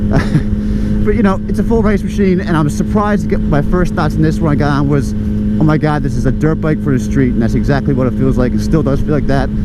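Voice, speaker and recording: A man's very fast speech at a very even loudness, with noticeable background noise. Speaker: motorcycle vlogger. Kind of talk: casual talk to camera. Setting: outdoors.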